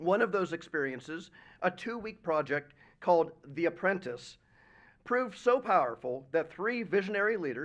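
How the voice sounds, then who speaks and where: Loud and high-pitched, a man speaks with lively intonation against a quiet background. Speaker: nonprofit president speaking at a school event. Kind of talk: prepared speech. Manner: formal.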